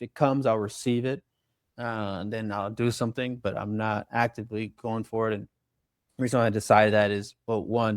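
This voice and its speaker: With an American accent, a man at a medium pitch talks at a fairly quick pace in a monotone, flat intonation, the recording very clean with a silent background and a dry, close sound with no echo. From Long Beach, California. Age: 20s. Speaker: author and youth organizer. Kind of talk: interview conversation. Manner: halting, with fillers and restarts.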